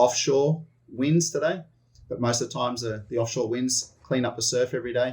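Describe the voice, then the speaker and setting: A man with an Australian accent, somewhat breathy, at a fairly quick pace with fairly even intonation. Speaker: missionary leader. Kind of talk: interview.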